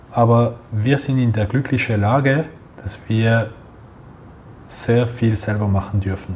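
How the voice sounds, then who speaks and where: At a very slow pace, a man speaks in a medium pitch with fairly even intonation. Long pauses come frequently. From Geneva, French-speaking Switzerland. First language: French (speaking German). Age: 30s. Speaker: head of a retail loyalty program. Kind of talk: interview.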